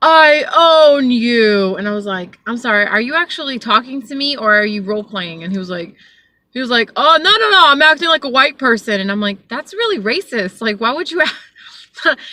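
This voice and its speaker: Bright and sharp in tone, a woman with a Southern California accent speaks at a moderate pace and high pitch, with very wide pitch swings and big swings in loudness. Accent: valley girl speech with many 'like' fillers. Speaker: Uber driver. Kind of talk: casual talk to camera. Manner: rambling, chatty.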